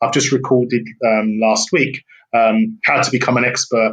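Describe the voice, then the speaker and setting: In a British accent, a man speaks at a moderate pace and medium pitch. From England. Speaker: business consultant and speaker. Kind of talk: interview.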